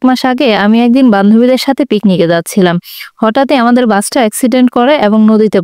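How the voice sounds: A natural reading voice and its ordinary pitch variation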